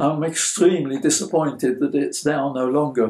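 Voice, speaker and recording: A man's fairly high voice, dark and mellow in tone. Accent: British. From Belgium (Brussels), English mother. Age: 80s+. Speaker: interviewee sharing childhood memories. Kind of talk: interview answer.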